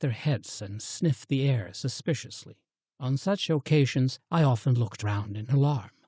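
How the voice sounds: The background stays quiet. The voice is a natural reading voice.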